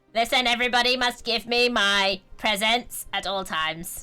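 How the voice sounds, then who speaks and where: In a raised, projected, put-on character voice, a female-sounding speaker talks at a moderate pace and a fairly high pitch. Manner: demanding, domineering.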